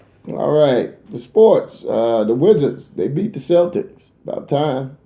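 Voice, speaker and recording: At a very slow pace, a man with a fairly high pitch speaks with lively intonation and big swings in loudness. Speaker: talk show host. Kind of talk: casual chat. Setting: live stream.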